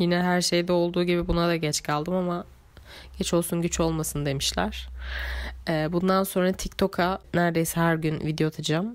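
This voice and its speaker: A woman speaks at a moderate pace with very even loudness. Her fairly low voice stays monotone and flat. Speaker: notebook maker and vlogger. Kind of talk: casual monologue voiceover. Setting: home voice recording.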